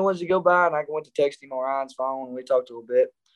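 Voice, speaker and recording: A man speaks at a very fast clip with an Arkansas accent. His voice sits fairly high in pitch. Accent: Southern US (Arkansas). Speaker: country singer. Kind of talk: casual chat.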